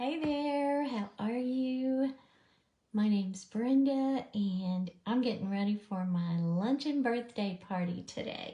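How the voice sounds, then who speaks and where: A woman with a dark, mellow tone talks at a very slow pace, somewhat breathy, her intonation lively. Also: fairly high pitch for a woman. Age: 60s. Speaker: makeup artist. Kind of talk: tutorial. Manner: soft-spoken.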